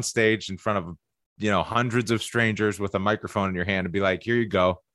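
A gravelly male voice with ordinary pitch variation. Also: fairly bright tone.

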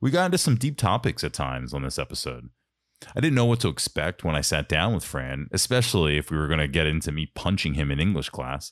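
A man with an American accent talks at a very fast pace in a very deep, low pitch, with vocal fry and lively intonation. The sound is dry and close with no echo, on a very clean recording with a silent background. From Philadelphia suburbs. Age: 30s. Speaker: podcast host. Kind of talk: scripted narration; casual chat. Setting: studio.

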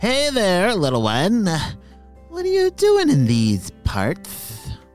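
A man puts on a high-pitched character voice and speaks very slowly. Faint music plays in the background. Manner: sly, scheming.

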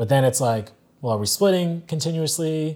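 At a moderate pace, a man speaks in a dark, mellow tone with ordinary pitch variation, recorded very cleanly against a silent background. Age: young. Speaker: television professional. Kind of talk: casual chat. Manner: halting, many fillers.

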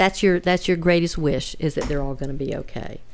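A woman with a Southern US accent. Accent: Southern US (Georgia). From US South, Georgia (Hinesville). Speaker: podcast guest, host's relative. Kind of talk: personal storytelling.

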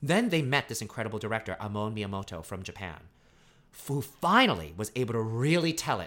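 A man with a medium pitch and a bright, sharp tone swings his pitch very widely on a very clean recording with a silent background. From New York City, Brooklyn. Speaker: Broadway actor. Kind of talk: casual interview. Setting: at home.

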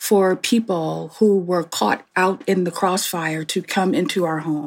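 This woman has an unremarkable speaking voice at a medium pitch. She talks at a fairly slow pace. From Newark, New Jersey. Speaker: pastor and seminary president. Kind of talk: interview conversation.

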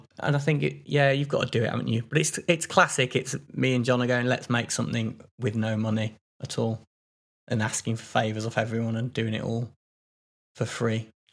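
A man with an English Midlands accent at a medium pitch, fairly quick pace and ordinary pitch variation. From Midlands England. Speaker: podcast co-host. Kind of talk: casual chat.

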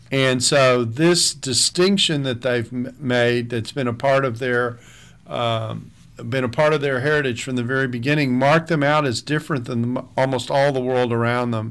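The man's voice is medium in pitch, and he talks at a moderate speed. The intonation remains fairly even. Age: 60s. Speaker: seminary professor and author. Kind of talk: radio interview. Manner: halting, many fillers and restarts.

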